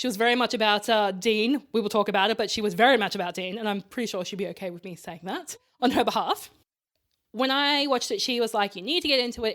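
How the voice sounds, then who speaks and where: A woman's fairly high voice with an Australian accent and ordinary pitch variation. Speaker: podcast co-host. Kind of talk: casual chat. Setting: co-host's bedroom.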